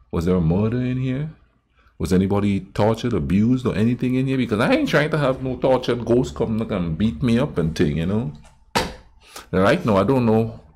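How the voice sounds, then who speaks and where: Intonation is lively, and the pace is fairly quick. There is light background noise. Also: man. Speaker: reaction video host. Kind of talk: casual reaction commentary. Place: home room.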